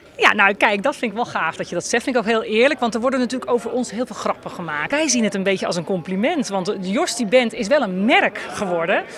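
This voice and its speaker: A woman rushes along at a very fast pace with hardly any pauses, in a dry sound with no echo and light background noise. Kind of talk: interview answer. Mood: warm, cheerful, laughing. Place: hall.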